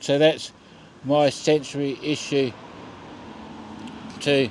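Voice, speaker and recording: Here a man speaks with an Australian accent. His pitch is fairly high. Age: 50s. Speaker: vlogger. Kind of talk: casual vlog monologue. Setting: outdoors at a bus stop at night.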